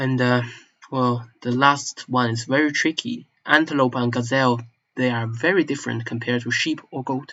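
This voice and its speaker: A man with a strong Chinese accent, medium pitch and fairly even intonation. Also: moderate pace. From northeast China (Manchuria). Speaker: language enthusiast vlogger. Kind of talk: casual monologue. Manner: halting, self-correcting.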